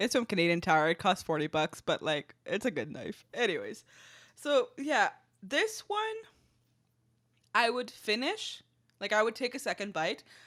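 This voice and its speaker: Moving through very wide pitch swings, a woman with a fairly high pitch talks at a moderate pace with long, frequent pauses. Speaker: food podcast co-host. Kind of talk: casual chat.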